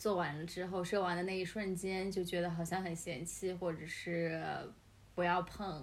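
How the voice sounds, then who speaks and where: There is audible room echo as a woman speaks in a flat, monotone way at a fairly low pitch. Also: moderate pace. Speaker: podcast host, guest this episode. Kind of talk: casual chat. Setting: home apartment studio, face to face.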